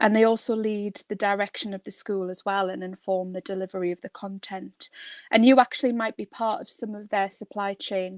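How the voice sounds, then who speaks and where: A woman at medium pitch with a northeast England accent, monotone and flat, big swings in loudness, dry and close with no echo, over a quiet background. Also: fairly quick pace. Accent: northeast England, kept. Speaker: construction trainer and coach. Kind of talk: webinar presentation. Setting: online webinar. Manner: hesitant with fillers.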